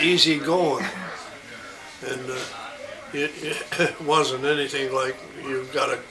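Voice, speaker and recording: A fairly high-pitched man with an American accent, ordinary pitch variation and long, frequent pauses, over noticeable background noise. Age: 80s+. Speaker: telephone company retiree. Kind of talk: interview answer.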